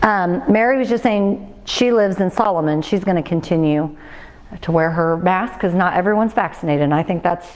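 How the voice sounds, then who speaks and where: A woman at a medium pitch against noticeable background noise. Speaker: fitness instructor. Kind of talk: exercise class instruction. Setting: fitness class with livestream. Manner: fast; loud.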